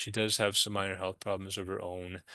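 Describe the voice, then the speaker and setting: Against a quiet background, a man speaks fairly quickly with a fairly low pitch, a bright, sharp tone and monotone, flat intonation. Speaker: hospice program director. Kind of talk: webinar presentation. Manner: fast.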